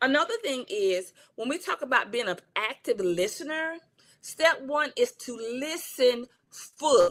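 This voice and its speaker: This woman is loud and high-pitched, with an American accent. Her intonation is lively. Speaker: counselor and coach. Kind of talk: livestream talk. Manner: passionate.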